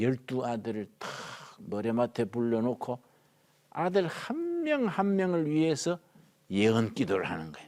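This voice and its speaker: Animated in tone, a man speaks at a fairly slow pace with a medium pitch and very wide pitch swings. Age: 70s. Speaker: pastor teaching Bible class. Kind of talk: Bible lecture. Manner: animated, colloquial.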